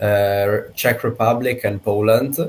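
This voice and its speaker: A man with an Italian accent talks at a very slow pace. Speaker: company executive. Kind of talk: business video call. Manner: halting.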